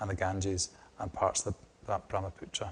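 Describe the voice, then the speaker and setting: The speaker is a man with a strong Scottish accent. He talks at a moderate pace. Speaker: hydrogeologist, research division head. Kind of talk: lecture. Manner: hesitant, many repetitions and fillers.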